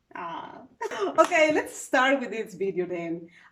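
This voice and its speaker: A woman speaks with a high pitch and very wide swings in her pitch. Background noise is noticeable behind her. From Peru. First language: Spanish. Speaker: travel vlogger. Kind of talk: casual chat.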